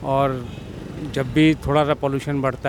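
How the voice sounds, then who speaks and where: Flat, monotone man's voice at medium pitch and moderate pace, over noticeable background noise. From Delhi. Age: 60s. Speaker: street interviewee. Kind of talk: street interview.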